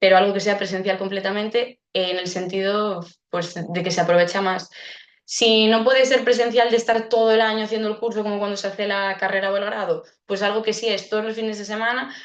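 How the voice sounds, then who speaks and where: A woman's fairly quick, flat, monotone delivery at a medium pitch. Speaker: speech therapist giving a webinar. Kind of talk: webinar Q&A. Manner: fast.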